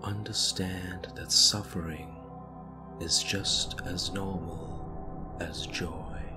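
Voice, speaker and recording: Through loud background noise, a man speaks at a very slow pace with long, frequent pauses. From India. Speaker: meditation guide. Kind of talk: guided meditation.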